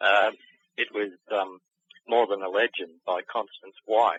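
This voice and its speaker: In an Australian accent, a man speaks with monotone, flat intonation. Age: 60s. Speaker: author and cryptid researcher. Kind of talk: interview. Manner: halting.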